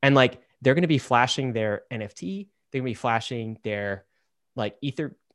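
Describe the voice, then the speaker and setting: Against a quiet background, a normal speaking voice moves at a moderate pace with lively intonation. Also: man. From Southern Ontario, Canada. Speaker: podcast co-host. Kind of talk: casual chat.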